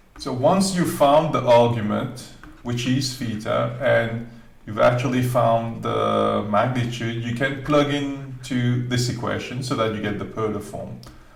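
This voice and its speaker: Audible room echo and noticeable background noise surround a man's voice. He talks at a medium pitch and fairly slow pace with fairly even intonation. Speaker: maths teacher. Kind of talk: tutorial.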